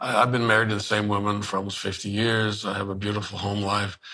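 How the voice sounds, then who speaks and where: Amid noticeable background noise and audible room echo, a man with a fairly low pitch talks at a fairly quick pace. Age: 70s. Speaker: journalist. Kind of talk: casual chat. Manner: fast; animated.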